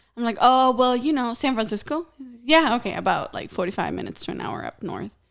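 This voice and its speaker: Talking at a very fast pace in a Mexican accent, this speaker has ordinary pitch variation and big swings in loudness. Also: woman, high pitch for a woman. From Mexico. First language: Spanish. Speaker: podcast host. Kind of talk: casual chat.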